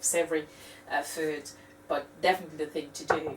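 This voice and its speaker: A woman with a very deep, low pitch speaks in a French accent at a fairly quick pace, with fairly even intonation and noticeable background noise. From France. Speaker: cooking video host. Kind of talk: tutorial. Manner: halting, many fillers.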